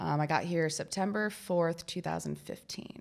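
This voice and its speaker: A woman with a very deep, low pitch speaks at a fairly slow pace in a very clean recording with a silent background. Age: 30s. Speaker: mural artist. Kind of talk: casual interview chat. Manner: casual, hesitant with fillers.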